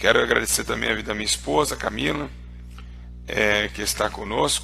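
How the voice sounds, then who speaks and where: Over music in the background and with audible room echo, a man talks at a fairly quick pace. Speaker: pastor. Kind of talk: radio sermon with prayer. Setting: radio broadcast.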